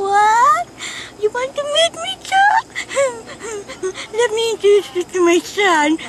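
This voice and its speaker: Putting on a character voice with a Scottish-free, extremely high pitch, a woman talks at a fairly slow pace with lively intonation and long, frequent pauses, over clear background noise. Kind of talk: amateur comic acting. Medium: short film. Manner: eager, fussy. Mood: surprised, eager.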